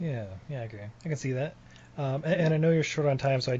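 A man speaks in a somewhat breathy voice with monotone, flat intonation. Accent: American. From Utah, US. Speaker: podcast host. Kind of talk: interview.

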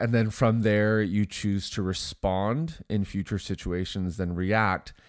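A man talks slowly in a fairly low, nasal voice with ordinary pitch variation.

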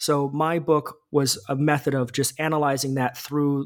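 A man speaks in an ordinary speaking voice, fairly high in pitch. He keeps a moderate pace. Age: 30s. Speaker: author. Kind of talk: interview.

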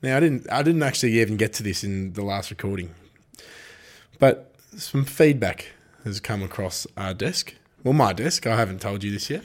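Over a very clean recording with a silent background, a man with an Australian accent speaks at a medium pitch and moderate pace, his intonation lively and broken by long, frequent pauses. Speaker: greyhound racing podcast host. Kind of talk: casual chat. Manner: animated.

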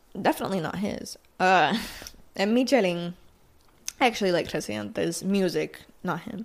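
A woman with a Puerto Rican accent speaks at a moderate pace with long, frequent pauses. Her medium pitch shows ordinary variation and vocal fry. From Puerto Rico. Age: 20s. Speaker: podcast host. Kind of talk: casual chat. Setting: sitting at a vanity at night. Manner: casual Spanish-English code-switching.

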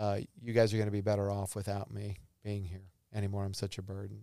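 This very clean recording, with a silent background, captures a man speaking at a fairly low pitch. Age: 50s. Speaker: psychologist. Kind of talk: casual chat.

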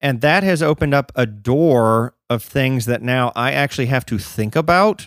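A man with an unremarkable speaking voice talks at a moderate pace, medium in pitch with ordinary pitch variation and hardly any pauses. The sound is dry and close with no echo, on a very clean recording with a silent background. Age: 30s. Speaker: podcast co-host. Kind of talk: casual chat.

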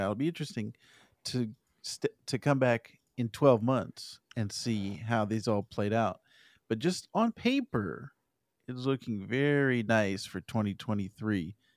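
In a very clean recording with a silent background and a dry, close sound with no echo, a man with an American accent speaks at a very slow pace and a medium pitch. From Arizona. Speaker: podcast co-host. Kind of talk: casual chat.

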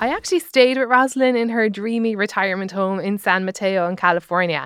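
Using a plain, everyday voice at a medium pitch, a woman talks fairly quickly with lively intonation, in a very clean recording with a silent background and a dry, close sound with no echo. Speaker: comedian and podcast host. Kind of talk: scripted narration with interviews. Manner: jokey.

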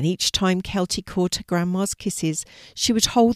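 A passage is being read aloud. The reader uses a natural voice.

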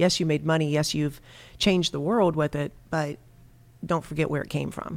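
Someone with an American accent speaks at a very fast pace. The recording is very clean, with a silent background. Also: woman. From US Midwest, Dayton, Ohio. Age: 50s. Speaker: congressional candidate and small business owner. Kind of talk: interview.

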